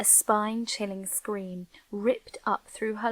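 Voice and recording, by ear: With fairly even intonation, a natural voice reads the passage aloud.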